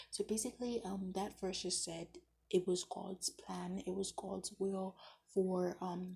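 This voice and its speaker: Somewhat breathy and dark, mellow in tone, a woman's medium-pitched voice moves at a moderate pace. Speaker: Bible study vlogger. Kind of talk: casual Bible chapter reflection. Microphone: bad audio.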